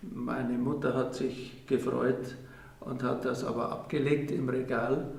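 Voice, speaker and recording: Medium in pitch, a man talks at a very slow pace with fairly even intonation. Room echo and noticeable background noise can be heard. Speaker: elder interviewee. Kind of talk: interview testimony. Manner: halting, hesitant.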